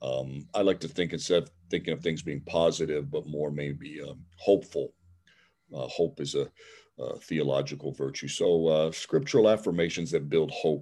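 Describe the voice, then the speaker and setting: Very deep and low, a man's voice with a dark, mellow tone and vocal fry moves at a moderate pace with ordinary pitch variation and a Midwestern US accent. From Cleveland, Ohio. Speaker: seminary professor. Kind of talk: interview. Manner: halting, many fillers.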